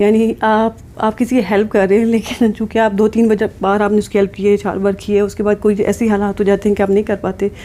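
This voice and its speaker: Hardly pausing, a woman speaks at a medium pitch with very even loudness. Her intonation stays monotone and flat. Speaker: psychologist / counselor YouTuber. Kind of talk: advice talk to camera. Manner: serious.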